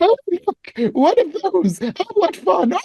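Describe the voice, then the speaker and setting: A man's put-on character voice in a British accent, extremely high-pitched and very slow. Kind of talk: posh. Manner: cheerfully exaggerated.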